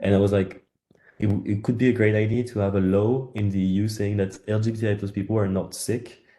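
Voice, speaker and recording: A man's dark, mellow voice, fairly low in pitch, in a monotone, flat intonation at a fairly quick pace. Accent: French. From France. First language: French. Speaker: campaign organiser. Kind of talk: webinar presentation. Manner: halting.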